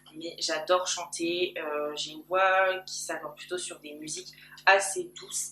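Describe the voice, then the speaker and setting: With music in the background, a woman speaks at a medium pitch and a fairly slow pace. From Paris region. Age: 20s. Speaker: YouTuber. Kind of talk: personal vlog. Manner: very loud. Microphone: camcorder built-in mic.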